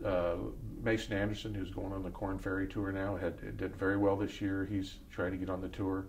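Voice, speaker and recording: Moderate pace, somewhat breathy delivery and fairly low pitch from a man, with audible room echo. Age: 70s. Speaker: former pro golfer. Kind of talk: interview.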